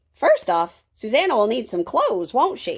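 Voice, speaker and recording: Here a woman does a put-on character voice. It sits high in pitch. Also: moderate pace. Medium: read story. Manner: homely, plainspoken.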